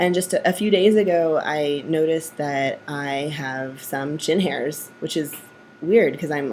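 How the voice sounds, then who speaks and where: A woman speaks at a fairly slow pace with a very deep, low pitch. Her pitch variation is ordinary, and there is noticeable background noise. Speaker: vlogger. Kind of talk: personal video diary. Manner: casual with many fillers.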